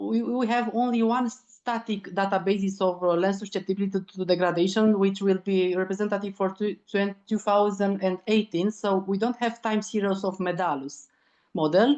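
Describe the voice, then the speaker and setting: A woman with a Romanian accent speaks at a moderate pace with hardly any pauses. Her pitch is medium, her intonation fairly even. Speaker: land degradation researcher. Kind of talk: online seminar discussion. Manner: halting, searching for words.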